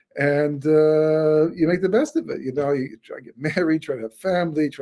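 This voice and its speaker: Speech comes at a fairly quick pace. A dark, mellow tone colors the voice. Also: man. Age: 60s. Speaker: rabbi and author. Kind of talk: webinar lecture. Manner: halting, many repetitions and fillers.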